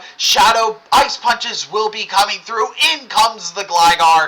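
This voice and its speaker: A man's raised, projected voice at a fairly slow pace with ordinary pitch variation and noticeable background noise. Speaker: gaming streamer. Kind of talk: live gameplay commentary.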